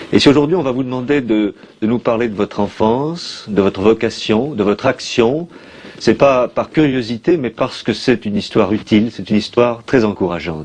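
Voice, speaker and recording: A man's medium-pitched voice at a moderate pace, over noticeable background noise. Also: ordinary pitch variation. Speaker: interviewer. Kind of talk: interview question.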